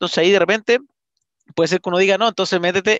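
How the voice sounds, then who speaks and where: Against a quiet background, a man with a Chilean accent speaks at a high pitch in a dry sound with no echo. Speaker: real estate investment podcaster. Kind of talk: live-streamed interview podcast. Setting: online live stream. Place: home room. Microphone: headset.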